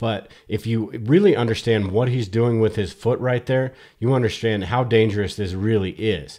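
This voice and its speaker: Over a quiet background, a man speaks in a normal speaking voice, fairly low in pitch, with ordinary pitch variation. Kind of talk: comedic voice-over narration.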